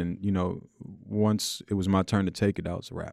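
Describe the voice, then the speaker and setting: With a New York accent, a man with a very deep, low pitch speaks fairly quickly in a dry, close sound with no echo, on a very clean recording with a silent background. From Queens, New York City. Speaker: violinist. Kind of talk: interview. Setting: studio. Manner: relaxed, casual.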